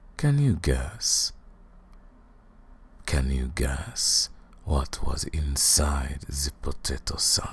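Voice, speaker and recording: A put-on character voice takes on a menacing tone. It moves at a very slow pace with long, frequent pauses. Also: man, very deep, low pitch for a man. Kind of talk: ASMR roleplay. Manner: mocking, menacing.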